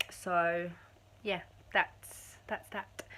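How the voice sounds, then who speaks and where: At a very slow pace, a woman talks at medium pitch. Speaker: vlogger. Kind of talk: casual vlog monologue. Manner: hesitant, many fillers; rambling.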